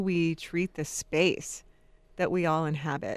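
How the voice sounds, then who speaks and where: An ordinary speaking voice from a woman, fairly low in pitch and fairly slow, against a quiet background. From Jacksonville, Florida. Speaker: compassion center director. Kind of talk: radio interview.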